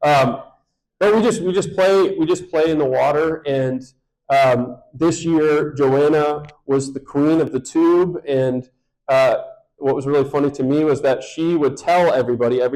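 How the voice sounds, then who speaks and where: An American accent marks this man's dark, mellow tone, pitched fairly high and delivered at a moderate pace. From Michigan, US Midwest. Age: 30s. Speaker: pastor. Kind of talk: sermon-style talk to congregation.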